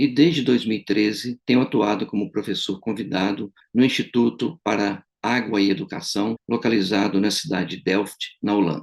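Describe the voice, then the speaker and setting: Talking at a moderate pace with hardly any pauses, a man uses an ordinary speaking voice with ordinary pitch variation. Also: fairly low pitch for a man. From Brazil. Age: 60s. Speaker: retired engineering professor. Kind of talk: political testimony to camera. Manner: formal.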